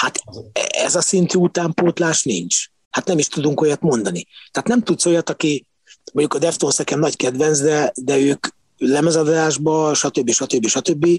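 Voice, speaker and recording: An unremarkable speaking voice at a fairly slow pace, very even loudness and ordinary pitch variation. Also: man, fairly high pitch for a man. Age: 50s. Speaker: backstage insider, music fan. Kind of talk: casual chat.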